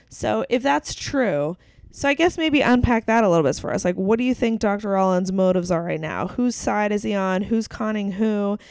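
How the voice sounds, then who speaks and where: In a very clean recording with a silent background, a woman with an American accent and an unremarkable speaking voice talks at a moderate pace and medium pitch with lively intonation. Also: hardly any pauses. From western Pennsylvania (Clarion). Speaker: podcast co-host. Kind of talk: casual chat. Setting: recording at co-host's home.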